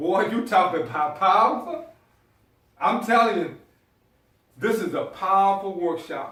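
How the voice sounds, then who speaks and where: Audible room echo around a man with a Southern US accent, high-pitched and lively in intonation, fairly slow, with long, frequent pauses. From US South, South Carolina. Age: 50s. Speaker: motivational speaker. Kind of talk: motivational speech.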